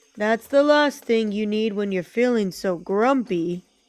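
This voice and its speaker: At a moderate pace, a woman uses a put-on character voice pitched fairly high. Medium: read story.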